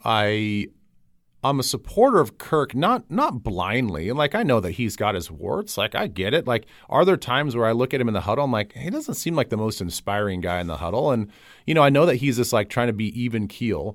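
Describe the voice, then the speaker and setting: A man talks at a fairly quick pace in an unremarkable speaking voice, medium in pitch with lively intonation. The recording is very clean with a silent background. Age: 40s. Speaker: podcast host and football broadcaster. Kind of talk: casual interview.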